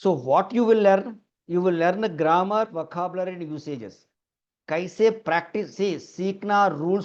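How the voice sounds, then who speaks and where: A man speaks at a moderate pace in a high voice. His pitch moves in an ordinary way. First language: Telugu (speaking Hindi). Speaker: English teacher. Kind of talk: online class lecture.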